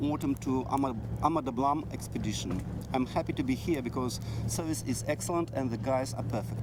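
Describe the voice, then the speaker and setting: Over noticeable background noise, a man speaks at a moderate pace and medium pitch with fairly even intonation. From Belarus. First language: Belarusian or Russian. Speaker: mountaineer. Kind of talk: interview. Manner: halting.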